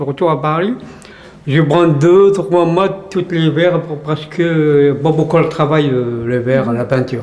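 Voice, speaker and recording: Noticeable background noise and audible room echo surround this man's voice. He has a fairly high pitch, speaks at a very slow pace, and shows ordinary pitch variation. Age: 60s. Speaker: retired immigrant worker, interviewee. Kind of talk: interview. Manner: halting.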